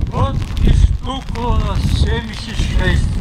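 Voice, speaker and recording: Noticeable background noise sits behind the voice. A man speaks at a very slow pace. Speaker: war veteran. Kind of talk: poetry reading. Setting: outdoors.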